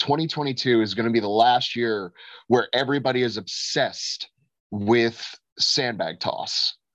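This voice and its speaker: A man speaks with an American accent. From Florida, US. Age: 20s. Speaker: strongman athlete. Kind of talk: casual chat. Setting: call. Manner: animated.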